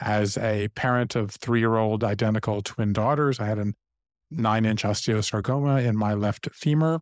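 A man with an unremarkable speaking voice and an American accent, fairly low in pitch, moderate in pace, with fairly even intonation and very even loudness, dry and close with no echo in a very clean recording with a silent background. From US South, Savannah, Georgia. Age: 50s. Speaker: author. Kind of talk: interview conversation.

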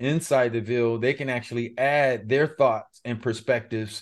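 A man with an American accent, medium pitch and monotone, flat intonation. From Los Angeles, Pacoima. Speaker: former pro football player and mind mapping coach. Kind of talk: interview.

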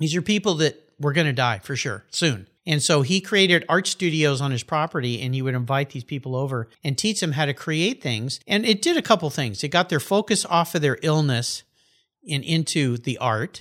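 Speaking in a plain, everyday voice, a man with an American accent talks at a moderate pace, fairly high in pitch with lively intonation, on a very clean recording with a dry, close sound and no echo. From Southern California. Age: 60s. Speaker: podcast host. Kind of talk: casual interview. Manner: laughs often.

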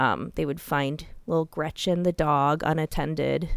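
A woman with a very deep, low pitch, vocal fry and an American accent. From Iowa, US Midwest. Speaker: true crime podcast host. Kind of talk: casual chat.

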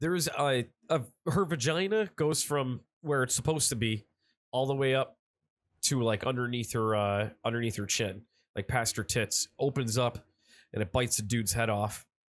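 A man uses an ordinary speaking voice at a medium pitch, with ordinary pitch variation and very even loudness. He talks at a moderate pace in a very clean recording with a silent background. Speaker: podcast host. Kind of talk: casual banter, comedic.

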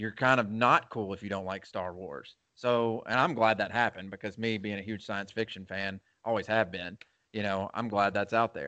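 A man's fairly low voice, a normal speaking voice, at a fairly quick pace with fairly even intonation. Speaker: movie podcast co-host. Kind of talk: casual chat. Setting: at home.

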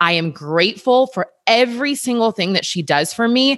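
On a very clean recording with a silent background, a woman speaks in a bright, sharp tone. Her pitch swings very widely. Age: 30s. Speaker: personal trainer. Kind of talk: casual chat.

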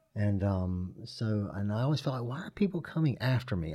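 A man with an unremarkable speaking voice talks at a moderate pace and a fairly low pitch with lively intonation, in a very clean recording with a silent background. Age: 50s. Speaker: person in recovery. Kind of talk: testimony.

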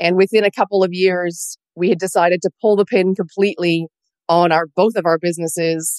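An ordinary speaking voice from a woman, fairly low in pitch and fairly quick, with fairly even intonation, very even loudness and a dry, close sound with no echo. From Canada. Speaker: business coach. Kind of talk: interview.

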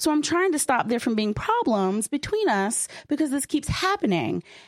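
Over noticeable background noise, a woman speaks in an animated tone at a fairly quick pace, her high voice making very wide pitch swings. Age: 30s. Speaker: sex educator and podcaster. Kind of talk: panel discussion before live audience.

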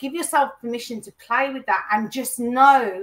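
High-pitched woman's voice with ordinary pitch variation. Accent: British. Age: 40s. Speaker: life coach. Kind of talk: interview.

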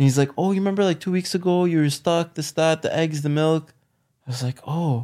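A man with a Canadian accent and a plain, everyday voice talks at a fairly quick pace, fairly high in pitch, with fairly even intonation. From Canada, Ottawa. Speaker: lawyer. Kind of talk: casual chat.

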